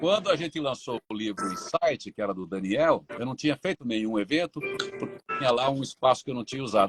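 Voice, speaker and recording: A man's fairly high voice at a fairly quick pace, with music in the background. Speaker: radio announcer. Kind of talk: interview answer.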